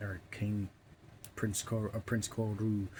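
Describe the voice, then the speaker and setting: The voice belongs to a man. He delivers every line in a flat monotone. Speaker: book reviewer. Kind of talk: casual book review monologue. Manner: stuttering, halting; rambling filler-heavy delivery.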